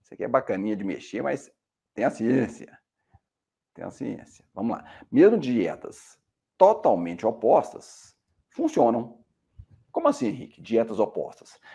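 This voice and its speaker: Male speaker at a fairly slow pace, with long, frequent pauses and big swings in loudness. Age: 50s. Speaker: medical doctor. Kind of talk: educational talk. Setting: screen-shared video presentation.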